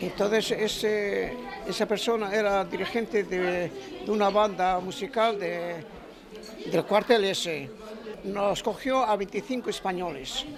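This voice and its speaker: A man talks at a high pitch with ordinary pitch variation. His pace is fairly slow, with crowd noise in the background. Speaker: war veteran and musician. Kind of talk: interview. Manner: halting.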